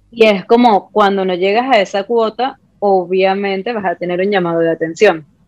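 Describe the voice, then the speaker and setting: This woman has an unremarkable speaking voice at medium pitch, with fairly even intonation and a moderate pace. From Venezuela, Puerto Ordaz (Ciudad Guayana). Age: 20s. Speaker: makeup artist and content creator. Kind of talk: casual interview chat.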